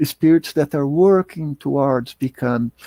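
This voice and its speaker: A man speaks at a fairly slow pace in a dark, mellow tone with a fairly high pitch. The sound is dry and close with no echo. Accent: Portuguese. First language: Portuguese. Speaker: spiritist lecturer. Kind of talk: lecture. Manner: halting, many fillers and repetitions.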